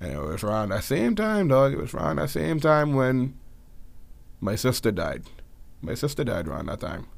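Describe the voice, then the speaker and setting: Very wide pitch swings in a Bahamian accent, at a moderate pace, broken by long, frequent pauses. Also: man, medium pitch for a man. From Bahamas. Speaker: podcast co-host. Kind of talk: casual chat.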